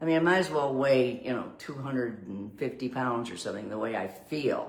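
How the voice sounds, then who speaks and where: Audible room echo and noticeable background noise surround a woman's voice. She speaks with a very deep, low pitch and lively intonation. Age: 80s+. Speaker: vlogger on aging. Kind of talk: casual video monologue. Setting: indoors by a window. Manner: animated.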